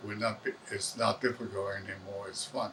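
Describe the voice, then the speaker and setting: A man talks fairly quickly. Background noise is noticeable throughout. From Taiwan. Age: 80s+. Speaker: retired electronics technician. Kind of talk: documentary interview. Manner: halting.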